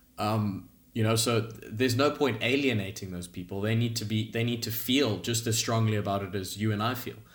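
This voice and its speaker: Amid audible room echo, a man speaks at a medium pitch and fairly quick pace, with fairly even intonation and hardly any pauses. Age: 20s. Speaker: professional golfer. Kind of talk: podcast interview.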